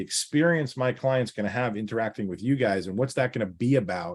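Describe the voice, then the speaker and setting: On a very clean recording with a silent background, a man with a slight New York accent speaks at a fairly quick pace and medium pitch. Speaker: financial planner. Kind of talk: podcast interview. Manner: direct.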